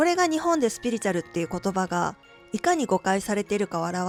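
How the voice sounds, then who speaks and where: A woman talks at a very fast pace with music in the background. Her medium-pitched voice swings very widely in pitch. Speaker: channel owner who runs a witch and crystal shop. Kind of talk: casual talk to camera, spoken essay on spirituality.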